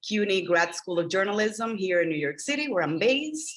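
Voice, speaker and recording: A woman speaks with a Spanish accent. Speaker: media trainer, former journalist. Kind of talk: workshop presentation over video call.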